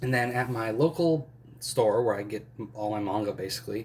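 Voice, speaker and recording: A somewhat breathy man at a fairly slow pace with ordinary pitch variation. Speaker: manga collector YouTuber. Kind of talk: casual haul video. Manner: hesitant, many fillers.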